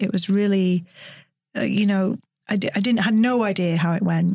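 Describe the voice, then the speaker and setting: Medium in pitch, this woman speaks. She has an ordinary speaking voice. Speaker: neuroscientist and science storyteller. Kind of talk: interview conversation. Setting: studio.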